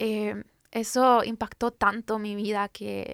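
A woman with a Guatemalan accent and a monotone, flat intonation, in a very clean recording with a silent background and a dry, close sound with no echo. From Guatemala, Guatemala City. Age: 30s. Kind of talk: faith testimony interview.

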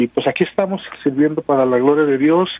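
In a normal speaking voice, a man with a fairly high pitch talks at a fairly quick pace with ordinary pitch variation. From Mexico, Guadalajara, Jalisco. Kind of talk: radio interview.

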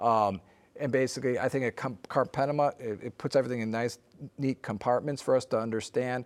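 A man speaks at a fairly quick pace with an American accent, his pitch medium and his intonation fairly even, in an unremarkable speaking voice. The recording is very clean, with a silent background. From US Midwest (northern Illinois). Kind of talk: interview.

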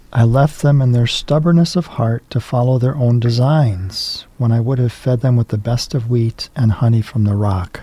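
A medium-pitched male voice with ordinary pitch variation and noticeable background noise. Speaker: priest and chaplain. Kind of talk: casual chat. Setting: studio.

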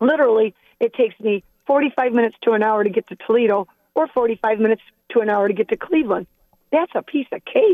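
A woman's plain, everyday voice, fairly high in pitch with ordinary pitch variation, at a fairly quick pace with an American accent. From northern Ohio, Port Clinton. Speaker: caller. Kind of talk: call-in chat.

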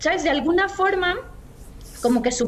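A woman speaks with a Mexican accent amid noticeable background noise. Audible room echo surrounds her voice. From Mexico, Guadalajara. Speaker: journalist and communications manager. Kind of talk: interview.

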